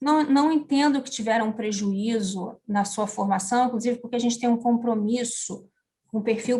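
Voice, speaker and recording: A woman at a moderate pace, fairly high in pitch, with fairly even intonation. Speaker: education manager. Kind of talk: interview. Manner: talkative.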